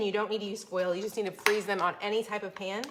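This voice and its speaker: Talking at a very fast pace in an animated tone, a woman with an American accent and a fairly high voice comes through against noticeable background noise. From Florida. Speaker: cooking channel host. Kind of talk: live-streamed cooking tutorial and chat with viewers.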